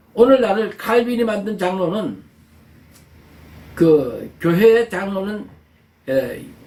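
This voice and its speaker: Here a man with a high pitch talks very slowly, leaving long, frequent pauses. His intonation is lively, and audible room echo is present. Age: 70s. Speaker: pastor. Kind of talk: sermon. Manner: halting.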